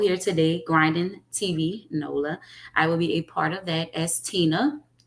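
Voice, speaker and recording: A fairly slow delivery in a New Orleans accent. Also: woman. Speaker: actress. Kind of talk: casual chat.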